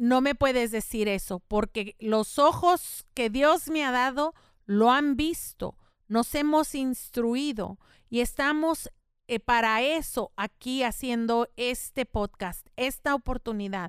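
A woman's high voice at a very slow pace with ordinary pitch variation, dry and close with no echo, on a very clean recording with a silent background. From El Paso, Texas (Mexican-American household). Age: 50s. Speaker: podcast host, local politician. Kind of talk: casual bilingual talk show.

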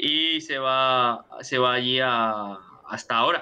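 A man with a medium pitch and fairly even intonation talks while noticeable background noise is heard. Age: 20s. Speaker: football podcast co-host. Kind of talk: casual chat. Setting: online call.

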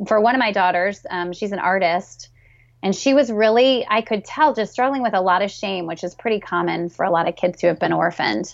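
This is an ordinary speaking voice. The woman's pitch sits in the medium range and varies in an ordinary way. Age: 30s. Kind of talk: interview.

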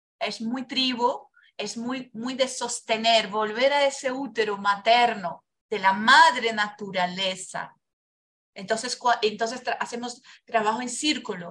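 In a Portuguese accent, a woman speaks at a fairly slow pace with a passionate, bright, sharp tone, a fairly high pitch and ordinary pitch variation. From Brazil. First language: Portuguese (speaking Spanish). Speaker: biodanza facilitator. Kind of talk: casual interview, life story testimony.

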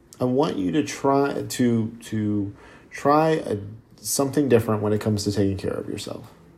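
Audible room echo surrounds a man speaking at a moderate pace, his medium pitch showing ordinary variation. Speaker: fitness podcast host. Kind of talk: solo podcast monologue.

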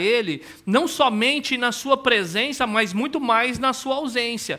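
The voice is raised and projected, bright and sharp in tone, and moves at a fairly slow pace. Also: man. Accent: Brazilian. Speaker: pastor. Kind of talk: sermon.

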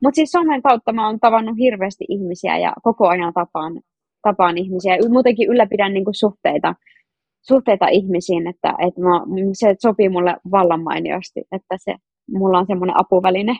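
A normal speaking voice from a woman, medium in pitch, with ordinary pitch variation and a moderate pace. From Finland, North Karelia. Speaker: social media influencer. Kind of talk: interview.

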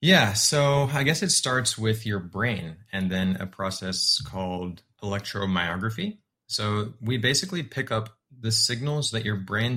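A man with an American accent, his pitch fairly low and his tone bright and sharp, at a moderate pace with ordinary pitch variation. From Texas, San Antonio. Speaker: startup founder. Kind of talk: interview.

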